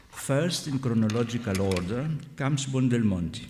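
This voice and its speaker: A man with a non-native accent speaks at a fairly slow pace, medium in pitch with lively intonation. Noticeable background noise and audible room echo fill the recording. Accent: foreign. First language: Greek. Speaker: scholar. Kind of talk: lecture.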